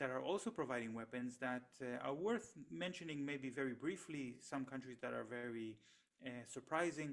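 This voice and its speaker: In an Israeli accent, a man talks at a moderate pace with a fairly high pitch and lively intonation. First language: Hebrew. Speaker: economist and researcher. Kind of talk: interview. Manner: halting, many fillers and repetitions.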